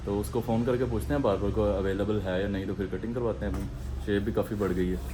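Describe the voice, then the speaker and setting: Noticeable background noise and audible room echo surround a man speaking at a fairly low pitch with ordinary pitch variation. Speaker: fitness vlogger. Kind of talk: casual vlog.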